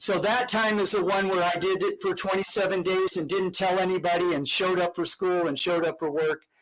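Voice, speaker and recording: Amid noticeable background noise, a man with a high pitch talks at a fairly quick pace with hardly any pauses and very even loudness. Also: fairly even intonation. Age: 60s. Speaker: podcast guest, health and fasting advocate. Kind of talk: casual chat.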